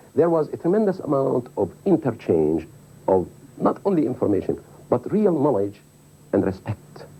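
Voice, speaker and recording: Over noticeable background noise, a man at medium pitch talks at a moderate pace with very wide pitch swings. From Palestine. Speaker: interviewee. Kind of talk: interview.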